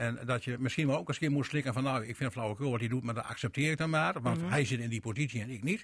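A man talks at a very fast pace, his voice somewhat breathy at a medium pitch with ordinary pitch variation. The recording is very clean, with a silent background. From Veenkoloniën, Groningen/Drenthe. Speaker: former party chair, radio panelist. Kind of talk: radio panel discussion.

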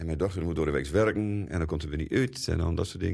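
A man with a very deep, low pitch races along at a very fast pace with ordinary pitch variation. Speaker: drummer. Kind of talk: interview.

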